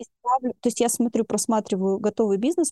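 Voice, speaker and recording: Against a quiet background, a woman's dark, mellow tone comes through with a dry, close sound and no echo. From Russia, Chelyabinsk region village. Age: 40s. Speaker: psychologist. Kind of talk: interview.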